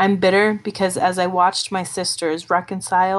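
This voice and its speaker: A woman's medium-pitched, monotone, flat delivery at a moderate pace in a very clean recording with a silent background. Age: 30s. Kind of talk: personal testimony monologue.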